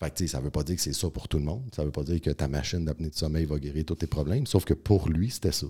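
A man talks with a very deep, low pitch and a dark, mellow tone, somewhat breathy. The recording is very clean, with a silent background. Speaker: naturopath and strength coach. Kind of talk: podcast interview.

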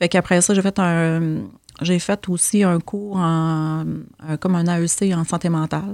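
On a very clean recording with a silent background, a woman with a fairly low pitch speaks at a fairly slow pace in a monotone, flat intonation. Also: dry, close sound with no echo. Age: 40s. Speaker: social worker. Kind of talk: casual interview chat.

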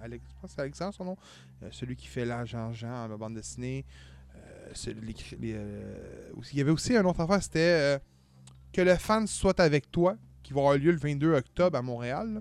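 A man at a moderate pace with long, frequent pauses, in a very clean recording with a silent background. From Quebec, Montreal area. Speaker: podcast host. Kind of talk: casual chat.

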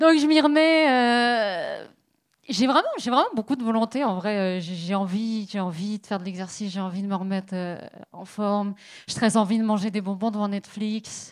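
On a very clean recording with a silent background, a woman uses a normal speaking voice with a fairly high pitch. She talks at a fairly slow pace with lively intonation and big swings in loudness. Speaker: stand-up comedian. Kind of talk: stand-up. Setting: stage with audience.

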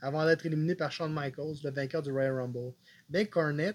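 This man has a normal speaking voice, pitched fairly high. His intonation stays fairly even. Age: 30s. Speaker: wrestling podcast co-host. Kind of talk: casual chat.

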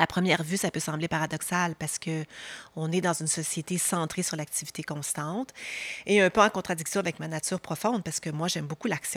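A woman with an ordinary speaking voice, fairly low in pitch, talks at a fairly quick pace with fairly even intonation in a very clean recording with a silent background and a dry, close sound with no echo. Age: 50s. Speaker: podcast host and leadership coach. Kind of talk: newsletter-style podcast monologue. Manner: warm, calm.

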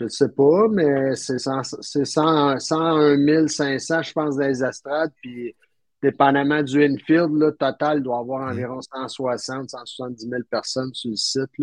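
A voice with a Quebec accent moves at a very slow pace with fairly even intonation, recorded with a dry, close sound and no echo. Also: man, fairly high pitch for a man. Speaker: podcast guest recounting a trip. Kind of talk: casual chat.

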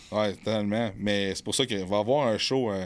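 At a moderate pace, a man with an unremarkable speaking voice, fairly low in pitch, talks with fairly even intonation in a very clean recording with a silent background. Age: 30s. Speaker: bodybuilder and fitness coach. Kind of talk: casual chat. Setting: studio.

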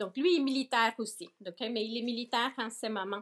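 A woman talks in a fairly high pitch with ordinary pitch variation. The recording is very clean, with a silent background. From Nicaragua, moved to Toronto around age 14. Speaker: organic farm owner. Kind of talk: interview. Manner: hesitant, frequent fillers and repetitions; code-switching into English.

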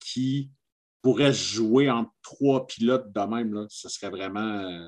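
The speaker is a man with ordinary pitch variation. He talks at a very slow pace. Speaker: podcast co-host. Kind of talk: casual chat. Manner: animated.

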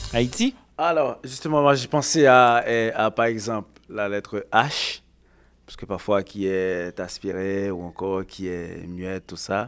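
A man's fairly low voice at a very slow pace, with ordinary pitch variation, big swings in loudness, and a very clean recording over a silent background. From Haiti. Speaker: podcast panelist. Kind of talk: casual chat.

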